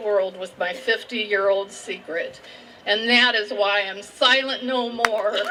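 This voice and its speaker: With a Midwestern American accent, a woman talks at a fairly slow pace with fairly even intonation against noticeable background noise. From Indiana, USA. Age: 60s. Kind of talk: personal testimony.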